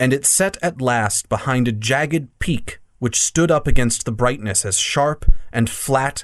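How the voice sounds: The clip carries a natural reading voice.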